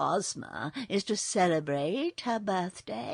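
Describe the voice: Lively intonation in plain reading aloud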